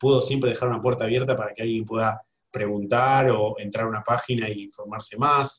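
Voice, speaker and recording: A man talks at a fairly quick pace with a Rioplatense accent and a somewhat breathy voice. His pitch is medium and his intonation fairly even. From Buenos Aires, Argentina. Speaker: graphic designer. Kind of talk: interview. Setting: video call.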